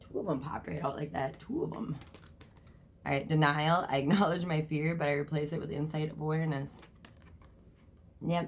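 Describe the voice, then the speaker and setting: A woman's very deep, low voice at a fairly quick pace, fairly even intonation, long and frequent pauses, and audible room echo. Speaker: tarot reader. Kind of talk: tarot reading vlog. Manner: fast; casual, filler words.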